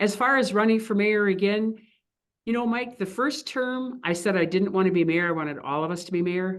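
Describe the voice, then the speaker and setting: With an American accent, a woman speaks at a fairly quick pace, using a medium pitch and ordinary pitch variation. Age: 60s. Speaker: mayor. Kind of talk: radio interview. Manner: animated.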